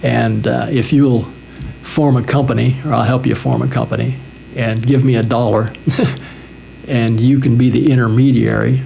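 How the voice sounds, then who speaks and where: Over noticeable background noise, a man talks at a moderate pace with very even loudness and long, frequent pauses. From Wyoming. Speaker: cable television executive. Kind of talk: oral history interview answer.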